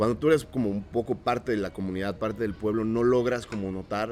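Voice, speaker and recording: Speaking fairly quickly, a man with a normal speaking voice keeps a fairly low pitch and fairly even intonation. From Oaxaca, Mexico. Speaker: organic market owner. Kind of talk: casual interview chat.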